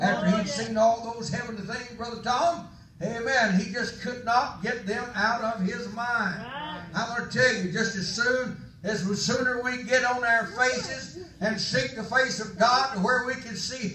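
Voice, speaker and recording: A man's raised, projected voice at a fairly slow pace, with ordinary pitch variation, noticeable background noise and audible room echo. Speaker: preacher. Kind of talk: sermon. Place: church.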